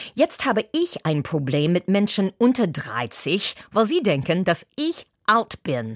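In a very clean recording with a silent background, a woman at medium pitch speaks very slowly with vocal fry and very wide pitch swings. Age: 60s. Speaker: entertainer and actress. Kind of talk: scripted opinion commentary. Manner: animated.

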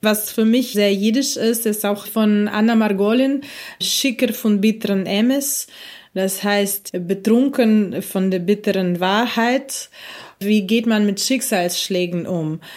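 A woman's fairly high voice in a Russian accent, at a very slow pace with very even loudness and ordinary pitch variation. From Ukraine (Kyiv), born in Russia. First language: Russian (speaking German). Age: 40s. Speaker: musician. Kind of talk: interview.

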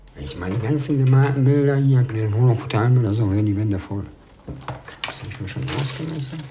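Over noticeable background noise and audible room echo, a man speaks very fast at a medium pitch, his loudness swinging widely. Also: ordinary pitch variation. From Ruhr area, Germany. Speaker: former prisoner. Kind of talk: documentary interview.

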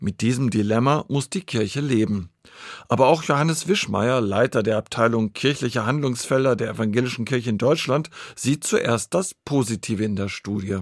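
In a very clean recording with a silent background, a man with a normal speaking voice and medium pitch talks at a moderate pace with ordinary pitch variation. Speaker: radio reporter. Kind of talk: radio feature narration.

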